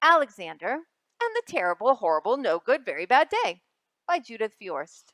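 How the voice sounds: A woman talks at a moderate pace, fairly high in pitch with a fairly bright tone. Her pitch swings very widely, and the sound is dry and close with no echo.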